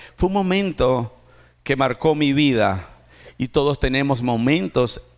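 In a very clean recording with a silent background, a man at medium pitch speaks very slowly with lively intonation. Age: 40s. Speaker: pastor. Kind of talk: sermon. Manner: animated.

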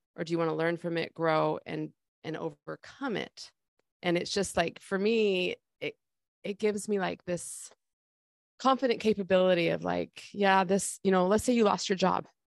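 In an ordinary speaking voice, a woman talks at a moderate pace and a medium pitch with ordinary pitch variation, captured with a dry, close sound and no echo. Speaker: life coach podcast host. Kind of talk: casual podcast chat.

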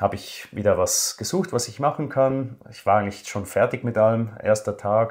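A somewhat breathy man at a medium pitch, with lively intonation and a moderate pace. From Switzerland. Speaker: finance blogger, former banker. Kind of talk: interview.

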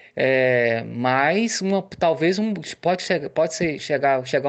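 There's a man speaking with ordinary pitch variation. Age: 40s. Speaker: individual investor. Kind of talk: recorded voice message. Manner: halting, many repetitions.

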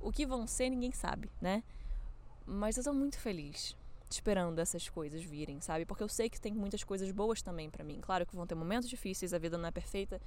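With audible room echo, a woman talks at a fairly quick pace with lively intonation. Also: medium pitch for a woman. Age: 20s. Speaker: podcaster. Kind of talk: personal reflection monologue. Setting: outdoors. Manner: casual, conversational.

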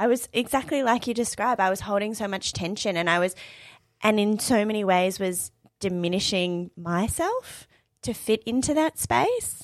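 Speaking in an Australian accent, a woman keeps to a medium pitch. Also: ordinary pitch variation, moderate pace. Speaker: podcast host. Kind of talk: casual chat. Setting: studio.

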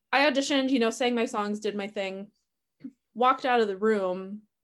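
Speaking at a moderate pace, a woman with a Wisconsin accent uses ordinary pitch variation. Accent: Upper Midwest (Wisconsin). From Wisconsin, Milwaukee. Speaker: stage manager and social worker. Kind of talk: casual interview. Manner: frequent laughter and filler words.

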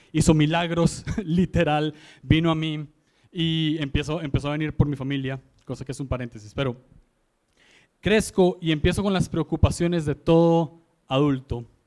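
His intonation stays fairly even at a fairly slow pace. The man's pitch is fairly high. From Costa Rica, San José. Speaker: guest preacher. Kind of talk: sermon.

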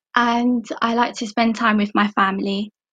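In an East London accent, a woman speaks fairly slowly with a fairly high pitch and fairly even intonation, the sound dry and close with no echo. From England, East London (Barking and Dagenham). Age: 20s. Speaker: admin receptionist, former apprentice. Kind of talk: interview.

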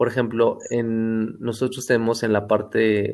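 Medium in pitch, a man speaks in a flat monotone. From Mexico, Hidalgo (Pachuca). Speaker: painter and architect. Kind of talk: interview conversation. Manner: halting.

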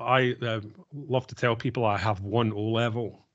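A man speaks with a Glaswegian accent at a moderate pace. His medium-pitched voice keeps fairly even intonation. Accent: Glaswegian Scottish. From Scotland, Glasgow. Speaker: tech business leader. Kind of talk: podcast interview.

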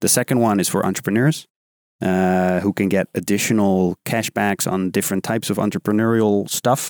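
In a plain, everyday voice, a man with a fairly low pitch speaks at a moderate pace with fairly even intonation, the sound dry and close with no echo. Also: very clean recording, silent background. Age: 20s. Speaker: podcast host. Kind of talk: casual chat. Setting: studio.

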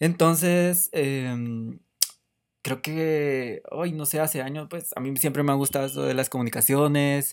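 Talking at a fairly slow pace with a Guatemalan accent, a man uses a fairly high pitch and fairly even intonation. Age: 20s. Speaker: podcast host; photographer. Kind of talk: casual solo podcast monologue. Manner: halting.

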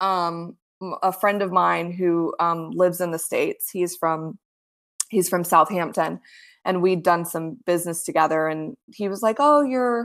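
In a very clean recording with a silent background, a woman speaks with an American accent and a plain, everyday voice. Her pitch is fairly low, with ordinary pitch variation. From South Florida. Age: 30s. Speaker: author and producer. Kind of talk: casual interview.

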